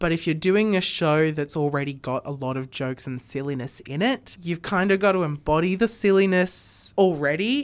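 The speaker uses an Australian accent, lively intonation and a moderate pace with hardly any pauses. The recording is very clean, with a silent background. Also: woman, fairly low pitch for a woman. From Sydney, Australia. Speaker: amateur theatre actor. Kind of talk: radio interview, casual chat. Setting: radio studio.

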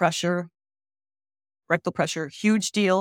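In a very clean recording with a silent background and a dry, close sound without echo, a woman speaks in a monotone, flat intonation. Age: 70s. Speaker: nonprofit founder and patient advocate. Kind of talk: interview.

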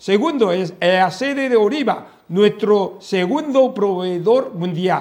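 A man speaks in a Chinese accent at a very slow pace. His high pitch moves with lively intonation. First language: Chinese (speaking Spanish). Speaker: diplomat. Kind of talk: interview. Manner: halting.

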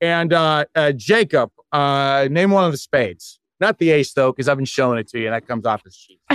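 Heard in a dry, close sound with no echo, a man with a normal speaking voice and a fairly high pitch uses lively intonation and big swings in loudness. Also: fairly quick pace. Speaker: magician and podcast guest. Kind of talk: casual chat. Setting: video call.

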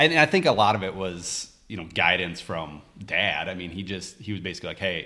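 With an American accent, a man talks at a fairly quick pace, his very deep, low pitch paired with a bright, sharp tone. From US Midwest (Minnesota). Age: 30s. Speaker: part-time farmer and finance worker. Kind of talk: casual chat.

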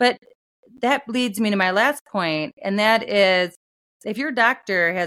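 The intonation is lively. It is a normal speaking voice. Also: woman. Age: 40s. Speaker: attorney and author. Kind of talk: interview.

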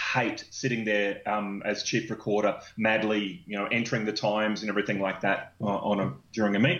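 A man at a fairly low pitch and a moderate pace. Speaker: inventor and business founder. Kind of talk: interview. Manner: halting.

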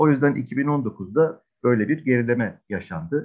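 A man speaks with an ordinary speaking voice at a medium pitch. His intonation is lively and his pace fairly slow. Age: 40s. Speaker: games and esports agency executive. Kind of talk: interview.

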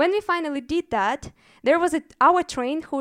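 At a moderate pace and with a Russian accent, the voice comes through dry and close with no echo, in a very clean recording with a silent background. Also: woman. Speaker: storyteller. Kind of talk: live storytelling. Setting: stage with audience.

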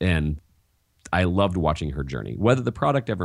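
A man talks at a fairly quick pace. His very deep, low voice carries vocal fry. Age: 40s. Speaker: teacher and education author. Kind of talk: interview.

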